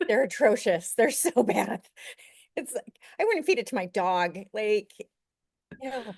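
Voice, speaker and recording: A woman with an American accent speaks at a fairly high pitch, her pitch swinging very widely. Long, frequent pauses break her speech, and the sound is dry and close with no echo. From Utah. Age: 40s. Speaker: law student. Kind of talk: podcast interview. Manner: halting.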